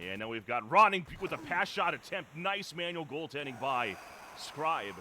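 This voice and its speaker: Loud and at a moderate pace, a man with a fairly high pitch speaks in a bright, sharp tone with vocal fry and very wide pitch swings. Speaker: esports play-by-play commentator. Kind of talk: live commentary.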